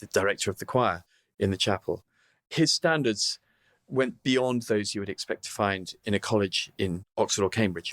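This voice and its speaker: A man with a southern English accent is heard in a very clean, dry, close recording with no echo and a silent background. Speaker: opera tenor. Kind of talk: interview answer. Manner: witty, candid.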